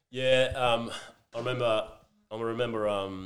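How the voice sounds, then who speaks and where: A man is speaking. He has an Australian accent. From Western Australia (near Geraldton). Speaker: professional footballer. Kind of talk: casual chat. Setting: makeshift home bar.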